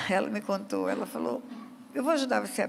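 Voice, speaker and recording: A woman speaks at a fairly quick pace. There is audible room echo in the recording. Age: 70s. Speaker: pastor. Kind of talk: sermon.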